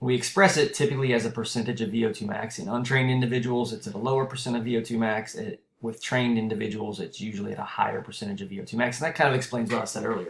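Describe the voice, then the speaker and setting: Very fast and with hardly any pauses, a man speaks in an American accent. His pitch varies in an ordinary way amid audible room echo. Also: medium pitch for a man. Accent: southern US accent, shows at times. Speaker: university lecturer. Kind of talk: recorded lecture. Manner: conversational, frequent fillers.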